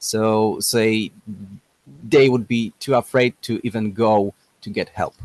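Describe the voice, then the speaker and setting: A man with a non-native accent speaks fairly slowly at medium pitch, with long, frequent pauses. His intonation is monotone and flat, and the sound is dry and close with no echo. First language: not English. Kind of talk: casual debate. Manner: halting.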